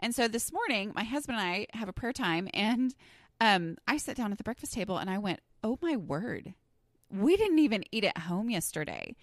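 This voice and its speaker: A woman with an American accent talks in an animated tone at a fairly high pitch with lively intonation, in a very clean recording with a silent background. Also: moderate pace. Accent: Southern US, stronger when flustered. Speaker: podcast host. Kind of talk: casual podcast monologue. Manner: conversational, animated.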